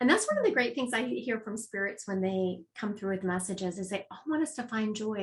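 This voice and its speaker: A woman talks at a fairly quick pace, her medium-pitched voice somewhat breathy. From Louisiana. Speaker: psychic medium. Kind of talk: interview.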